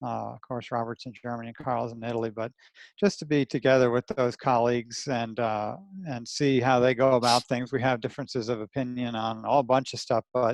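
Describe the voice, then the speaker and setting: Dry and close with no echo, the recording has a man at medium pitch speaking fairly quickly in a New Jersey accent, his intonation monotone and flat. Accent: New Jersey American. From New Jersey, US. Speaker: anatomist and dissection teacher. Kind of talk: podcast interview. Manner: casual, rough-spoken.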